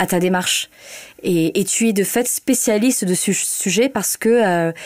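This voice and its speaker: A woman at a medium pitch and fairly slow pace, with ordinary pitch variation and very even loudness. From northern France (Hauts-de-France). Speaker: journalist. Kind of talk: interview. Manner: hesitant, many fillers.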